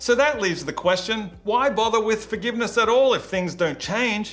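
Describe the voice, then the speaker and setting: A man speaks with an Australian accent and lively intonation. Audible room echo surrounds his voice. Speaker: youth pastor. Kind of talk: sermon.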